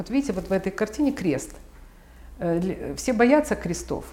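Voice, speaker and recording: A woman speaks at a moderate pace with a medium pitch and lively intonation. Vocal fry runs through her voice. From Ukraine, Kyiv. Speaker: art collector and patron. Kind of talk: interview. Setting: at her home.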